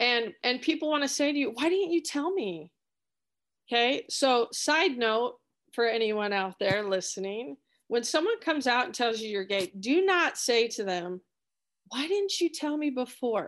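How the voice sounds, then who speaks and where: A high-pitched woman with an American accent, moderate pace and very wide pitch swings, against a quiet background. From Idaho, US. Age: 40s. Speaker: college sports coach. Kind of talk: interview.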